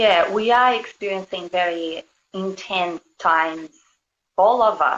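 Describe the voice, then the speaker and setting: A Brazilian accent comes through. The sound is dry and close, with no echo. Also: woman. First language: Portuguese. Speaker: spiritual healer and yoga teacher. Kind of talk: casual interview.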